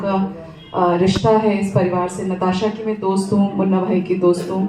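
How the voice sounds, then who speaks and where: A woman with a Bihari accent, medium in pitch and monotone, flat in intonation, with audible room echo and noticeable background noise. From Siwan, Bihar, India (raised in cities). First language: Bhojpuri (speaking Hindi). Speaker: former TV journalist, family friend speaker. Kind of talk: memorial tribute speech. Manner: halting, many filler pauses.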